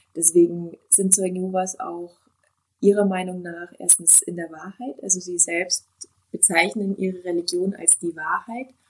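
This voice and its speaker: Talking at a moderate pace, a woman with an ordinary speaking voice and medium pitch makes big swings in loudness. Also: fairly even intonation. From southern Germany, Allgäu. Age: 40s. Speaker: naturopath. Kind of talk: interview testimony.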